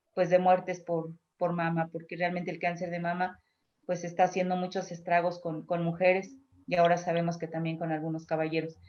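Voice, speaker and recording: A woman at a fairly quick pace, with monotone, flat intonation. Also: fairly low pitch for a woman. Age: 60s. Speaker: cancer patient. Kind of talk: testimony. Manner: halting.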